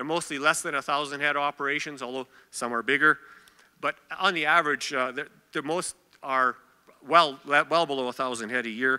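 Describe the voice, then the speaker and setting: A loud man with a Canadian accent, a fairly high pitch and a bright, sharp tone, fairly quick yet with long, frequent pauses, fairly even intonation and a dry, close sound with no echo. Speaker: agricultural association representative. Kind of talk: conference presentation. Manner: hesitant with many fillers.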